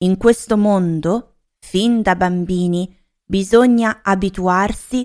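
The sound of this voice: With little sound behind it, an unforced reading voice comes through.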